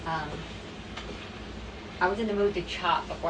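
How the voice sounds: A woman speaks at a fairly low pitch, and the background noise is clear.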